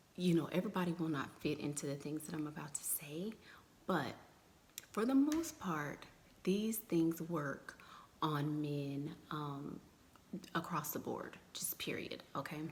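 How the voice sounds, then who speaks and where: A soft-spoken woman's somewhat breathy voice, very deep and low in pitch, at a fairly slow pace with long, frequent pauses. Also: ordinary pitch variation. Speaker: dating advice vlogger. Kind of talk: casual live stream chat. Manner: soft-spoken, low and muted; chatty, loose.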